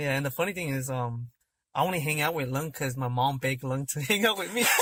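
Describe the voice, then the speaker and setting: A man talks at a very fast pace with an American accent. His pitch is fairly high, with ordinary pitch variation. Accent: slight accent, self-described. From California. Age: 20s. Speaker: podcast guest. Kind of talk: casual chat.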